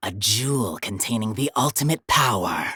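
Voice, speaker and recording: A woman's put-on character voice, very deep and low in pitch, at a moderate pace. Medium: solo performance. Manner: brooding, arrogant.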